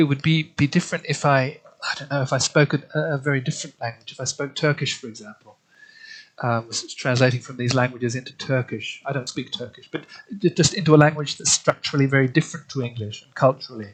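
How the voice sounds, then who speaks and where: A man talks at a very fast pace with a fairly high pitch. His pitch varies in an ordinary way. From Australia. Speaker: literary translator. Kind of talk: interview. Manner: halting, many repetitions and fillers.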